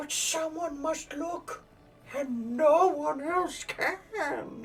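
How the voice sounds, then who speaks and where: The speaker uses a put-on character voice at high pitch. The pace is very slow. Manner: creepy.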